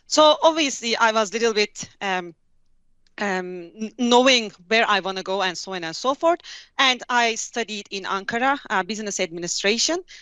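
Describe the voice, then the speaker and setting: This woman talks at a moderate pace in a Turkish accent, her fairly high voice rising and falling in lively intonation. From Turkey, Hatay. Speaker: tech company specialist. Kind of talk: interview. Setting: video call.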